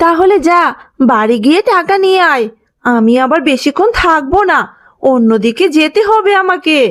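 Using a cartoonish character voice at extremely high pitch, a woman talks at a fairly slow pace. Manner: loud, hawking.

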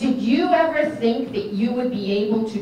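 A woman speaks at a fairly slow pace in a high voice, with light background noise and audible room echo. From New England. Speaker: elected state official. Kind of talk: political speech. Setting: stage with audience, microphone. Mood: earnest, tribute tone. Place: hall.

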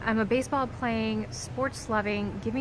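With an American accent, a woman speaks at a moderate pace, the sound dry with no echo but with noticeable background noise. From Kansas City. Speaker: golf vlogger. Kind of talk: casual vlog monologue. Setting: in retail stores.

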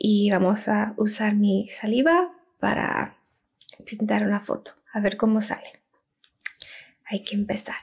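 Against a quiet background, a woman speaks very slowly with long, frequent pauses and ordinary pitch variation. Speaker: ASMR content creator. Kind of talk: ASMR roleplay, talking to camera. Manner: soft-spoken, slow. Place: home room. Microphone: studio mic.

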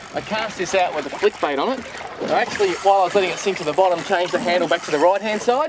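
Over noticeable background noise, a man with an Australian accent speaks very fast in a high pitch with ordinary pitch variation, the sound dry with no echo. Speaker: fishing TV presenter. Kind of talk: casual banter while fishing. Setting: outdoors on a boat. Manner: animated. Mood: cheerful, amused. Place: boat.

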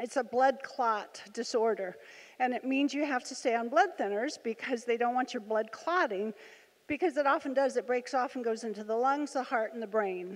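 A woman talks at a moderate pace with ordinary pitch variation. Her pitch is high. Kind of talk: personal testimony to audience. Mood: earnest storytelling. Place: hall. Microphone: handheld.

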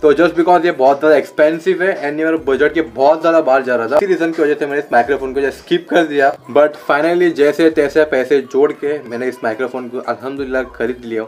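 A man at a moderate pace with hardly any pauses, fairly even intonation, and light background noise. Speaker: vlogger. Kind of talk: casual vlog chat. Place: home room. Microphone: handheld.

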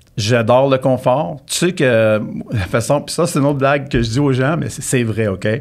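At a moderate pace, a man speaks, his pitch varying in an ordinary way. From Quebec. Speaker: real estate consultant, former lawyer; former lawyer. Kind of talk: casual interview. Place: studio. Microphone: studio mic.

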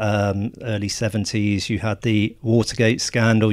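The speaker has an English accent. The intonation is monotone and flat. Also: man. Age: 40s. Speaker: film journalist. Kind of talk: casual chat. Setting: small hot room.

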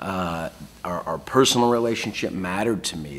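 A man's very deep, low voice at a fairly quick pace, with ordinary pitch variation. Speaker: keynote speaker. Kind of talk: interview answer. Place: office. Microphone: lapel.

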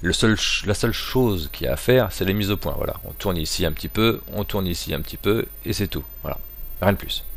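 A dry, echo-free sound at a fairly quick pace. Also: man. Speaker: amateur product reviewer. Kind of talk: product review. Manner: casual, hesitant with fillers. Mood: relaxed, joking. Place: home room. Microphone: poor crackling sound; camera far.

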